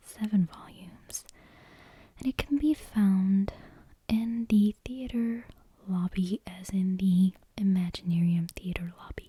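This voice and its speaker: Soft-spoken delivery at a very slow pace, broken by long, frequent pauses. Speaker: ASMR creator. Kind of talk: casual ASMR intro chat. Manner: hesitant, many fillers.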